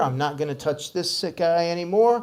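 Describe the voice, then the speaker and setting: A man speaks loudly at a moderate pace. His pitch swings very widely. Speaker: audio systems instructor. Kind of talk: tutorial. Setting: room with PA system.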